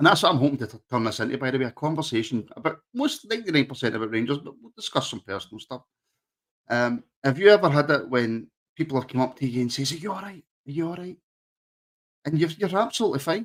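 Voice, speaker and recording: A man with a fairly high voice talks very fast, with very wide pitch swings and big swings in loudness. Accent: Glaswegian. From Scotland, Glasgow area (Rutherglen). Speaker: podcast host. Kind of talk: casual chat. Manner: halting, many fillers.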